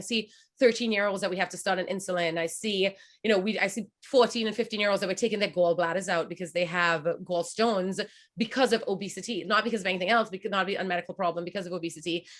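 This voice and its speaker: Speaking at a very fast pace, a woman keeps to a medium pitch. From Trinidad and Tobago. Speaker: pediatric doctor. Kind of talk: webinar Q&A.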